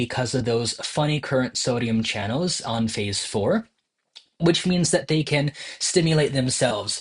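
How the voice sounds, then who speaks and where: At a moderate pace, a man with an American accent and a fairly high pitch speaks with lively intonation and a somewhat breathy voice. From New Jersey. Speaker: medical educator. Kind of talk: tutorial. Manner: casual, with filler words.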